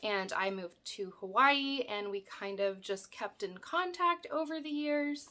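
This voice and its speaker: Her intonation is lively. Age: 30s. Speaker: crafting YouTuber. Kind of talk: casual Q&A vlog. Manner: hesitant, many fillers.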